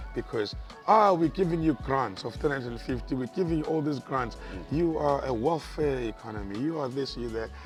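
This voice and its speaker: A man with a South African accent talks at a fairly quick pace. Music plays in the background. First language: isiZulu. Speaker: stand-up comedian and radio presenter. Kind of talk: interview answer.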